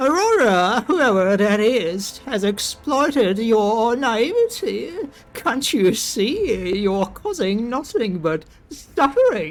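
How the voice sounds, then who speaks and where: A put-on character voice at a very slow pace, with lively intonation. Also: man, extremely high pitch for a man. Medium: game stream.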